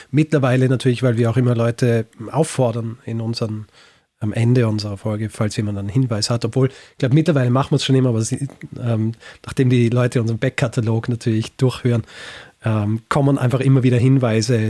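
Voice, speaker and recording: Speaking at a fairly quick pace with a slight Vorarlberg accent, a man uses a dark, mellow tone at medium pitch, with fairly even intonation and a dry, close sound with no echo. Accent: slight Vorarlberg tinge. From Austria, Vorarlberg (born in Graz). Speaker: historian and podcaster. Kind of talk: interview.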